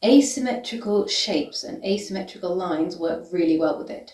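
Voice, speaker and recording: Speaking at a moderate pace with a British accent, a woman of medium pitch makes very wide pitch swings. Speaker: vintage fashion content creator. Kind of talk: styling tutorial. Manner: casual, enthusiastic.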